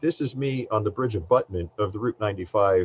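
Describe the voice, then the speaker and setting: A man's somewhat breathy voice with an American accent, in a dry, close sound with no echo. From US Northeast, New Jersey. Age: 60s. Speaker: government science administrator. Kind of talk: keynote speech. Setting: conference presentation with slides.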